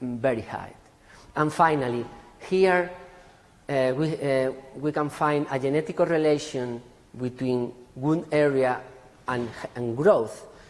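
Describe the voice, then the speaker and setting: Fairly high in pitch with ordinary pitch variation, a man speaks at a fairly slow pace with long, frequent pauses and audible room echo. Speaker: forest genetics researcher. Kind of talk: conference talk.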